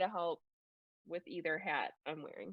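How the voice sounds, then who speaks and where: A woman with a slight Minnesota accent speaks at a moderate pace. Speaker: school board member and education professor. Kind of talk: virtual public meeting discussion. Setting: video call.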